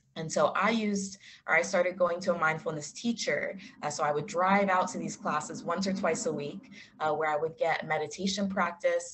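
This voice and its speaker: Amid noticeable background noise, a woman with a fairly low pitch talks at a fairly quick pace with ordinary pitch variation. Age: 20s. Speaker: clinical social worker and yoga instructor. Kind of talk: online talk with Q&A. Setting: video call. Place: home room. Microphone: video call.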